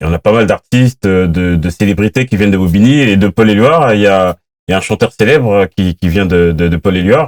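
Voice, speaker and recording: With a plain, everyday voice, a man speaks at a fairly quick pace and fairly low pitch, with ordinary pitch variation and very even loudness, in a dry, close sound with no echo. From France, Paris suburbs (Seine-Saint-Denis). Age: 40s. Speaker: podcast host. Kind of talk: interview.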